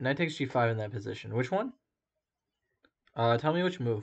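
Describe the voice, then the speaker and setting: At a moderate pace, a man talks with lively intonation at a medium pitch against a quiet background. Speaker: chess streamer. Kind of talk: live game analysis stream. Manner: halting, many fillers.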